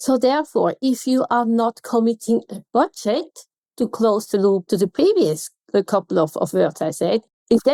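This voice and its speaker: This is a woman's voice with a dark, mellow tone. The sound is dry and close, with no echo. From Switzerland. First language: Swiss German. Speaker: contact centre consultant. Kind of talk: podcast interview.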